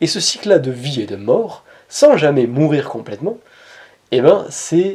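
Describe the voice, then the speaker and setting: A man speaks with a slight Montpellier accent and a dark, mellow tone. His pitch is fairly high, with very wide swings. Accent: Montpellier accent, slight, kept in check. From southern France, Montpellier. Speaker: spiritual coach / personal development youtuber. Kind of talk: inspirational talk to camera.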